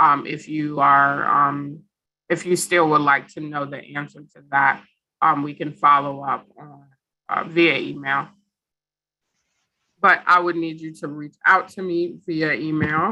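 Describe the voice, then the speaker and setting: A woman talks at a fairly slow pace in a very deep, low voice with a bright, sharp tone. Her intonation is fairly even, her loudness swings widely and she leaves long, frequent pauses. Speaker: housing program director. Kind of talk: information session presentation.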